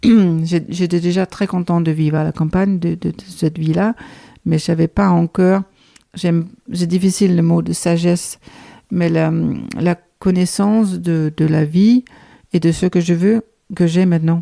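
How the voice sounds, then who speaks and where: A woman's fairly low, dark, mellow voice at a fairly slow pace, fairly even in intonation, with long, frequent pauses and a dry, close sound with no echo. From Denmark. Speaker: guesthouse owner, knitter. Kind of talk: podcast interview answer.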